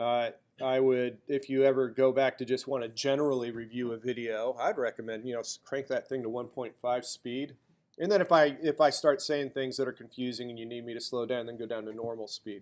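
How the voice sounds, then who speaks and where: With a slight Southern US accent, the speaker keeps fairly even intonation while the loudness swings widely. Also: man, medium pitch for a man. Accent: slight drawl. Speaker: college instructor. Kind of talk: lecture.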